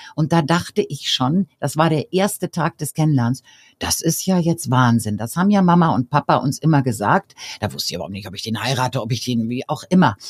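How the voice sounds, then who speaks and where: A woman speaks at a fairly quick pace in a very deep, low, somewhat breathy voice with very wide pitch swings, on a very clean, silent-background recording that sounds dry and close with no echo. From Bavaria, Germany (Regensburg). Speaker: professor and coach. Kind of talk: interview.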